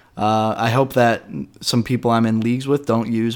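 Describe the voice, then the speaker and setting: A plain, everyday voice: a man with an American accent, medium pitch, moderate pace and fairly even intonation, on a very clean recording with a silent background. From Raleigh, North Carolina, US South. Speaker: podcast host. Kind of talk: casual chat, podcast intro.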